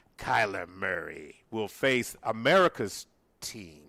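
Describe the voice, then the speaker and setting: Putting on a character voice, a raspy man with a medium pitch speaks at a fairly slow pace with lively intonation. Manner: feigned sob, mock emotion.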